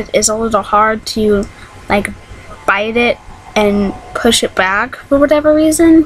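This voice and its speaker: Against noticeable background noise, a woman talks fairly slowly in a fairly high voice whose pitch varies in an ordinary way. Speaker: vlogger. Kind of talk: casual vlog monologue. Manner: hesitant, many ums.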